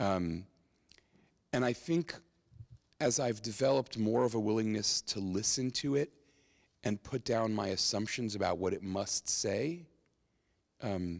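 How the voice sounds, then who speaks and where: In a very clean recording with a silent background, a man with an American accent speaks at a fairly slow pace and fairly low pitch, with ordinary pitch variation and long, frequent pauses. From New York. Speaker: rabbi and Bible teacher. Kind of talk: public talk with Q&A. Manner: conversational, many fillers.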